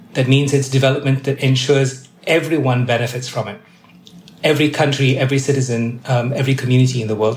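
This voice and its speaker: A man's medium-pitched, monotone, flat voice at a very fast pace over noticeable background noise. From Malaysia. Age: 50s. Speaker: UN development official. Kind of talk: interview.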